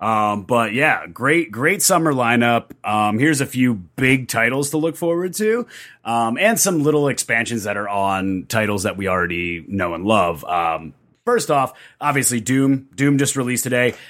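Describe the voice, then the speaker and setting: A man with a normal speaking voice, medium pitch, moderate pace and lively intonation, on a very clean recording with a silent background. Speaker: guest on a nerd podcast. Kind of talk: casual chat.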